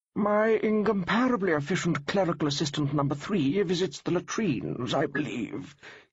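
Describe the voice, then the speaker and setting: A man puts on a high-pitched, wheezy character voice, speaking at a moderate pace with very even loudness. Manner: deliberate, phlegmatic.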